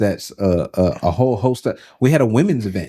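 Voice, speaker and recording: Fairly low in pitch and dark, mellow in tone, a man speaks at a moderate pace in a very clean recording with a silent background. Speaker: pastor. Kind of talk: casual chat. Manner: precise, particular diction.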